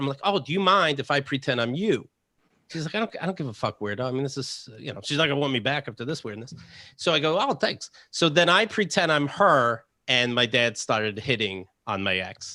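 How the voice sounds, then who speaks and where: A man with a bright, sharp tone speaks fairly quickly, pitched fairly high for a man. His pitch swings very widely, and the recording is very clean with a silent background. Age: 40s. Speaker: comedian and podcaster. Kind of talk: casual chat.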